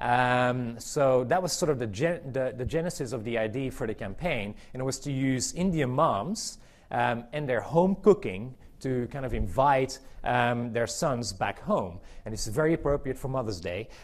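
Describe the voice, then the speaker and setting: Audible room echo surrounds a man with a medium pitch who speaks at a moderate pace with lively intonation. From Belgium. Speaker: marketing executive. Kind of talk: conference talk. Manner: hesitant, many fillers and repetitions.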